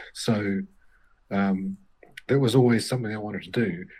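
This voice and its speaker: A man with a New Zealand accent, fairly low in pitch, with big swings in loudness and long, frequent pauses. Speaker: novelist. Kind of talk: interview.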